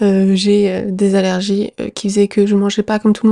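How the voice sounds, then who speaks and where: With a dark, mellow tone at a medium pitch, a woman speaks fairly quickly in a monotone, flat delivery, the sound dry and close with no echo. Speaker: podcast host. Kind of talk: personal storytelling monologue. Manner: hesitant, many fillers.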